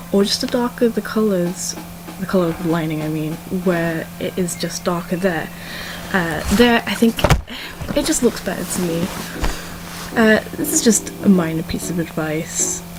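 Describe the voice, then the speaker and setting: A speaker with a British accent leaves long, frequent pauses. Noticeable background noise runs underneath. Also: woman, fairly low pitch for a woman, ordinary pitch variation, moderate pace. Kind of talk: casual art critique talk to viewers. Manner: stumbly, awkward, mumbles at times.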